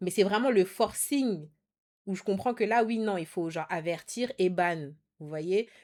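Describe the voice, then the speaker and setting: The speaker is a woman. The rise and fall of her pitch is ordinary. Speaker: streamer. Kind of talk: casual chat. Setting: video call. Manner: loud.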